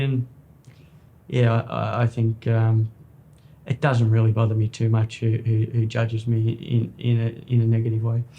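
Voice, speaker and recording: A man talks at a moderate pace in a medium-pitched, somewhat breathy voice with a dark, mellow tone. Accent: Australian. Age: 30s. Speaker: jockey. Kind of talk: interview.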